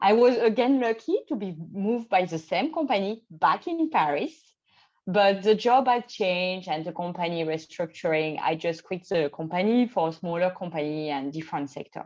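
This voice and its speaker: Talking at a moderate pace, a woman with a French accent uses medium pitch and lively intonation. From France, Champagne region. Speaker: expat spouse. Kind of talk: interview. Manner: hesitant, with fillers.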